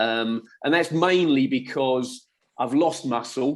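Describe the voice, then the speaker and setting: Using lively intonation, a man with a southern English accent talks at a fairly slow pace in a medium-pitched voice. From England, west London (Middlesex). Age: 60s. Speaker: former footballer and football coach. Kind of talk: casual chat.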